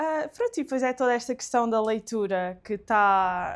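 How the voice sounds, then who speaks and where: Speaking at a moderate pace, a woman with a plain, everyday voice talks at a fairly high pitch. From Alentejo, Portugal. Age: 20s. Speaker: book content creator. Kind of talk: casual interview chat.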